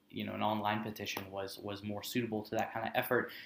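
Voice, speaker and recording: A man's monotone, flat delivery at a very fast pace, with audible room echo. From northern Louisiana, Lincoln Parish. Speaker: university student organizer. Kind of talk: casual chat.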